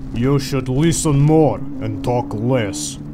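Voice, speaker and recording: A man puts on a character voice with a deadpan tone and medium pitch, speaking at a very slow pace. Loud background noise runs underneath. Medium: fan dub. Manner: deadpan, blunt, broken English.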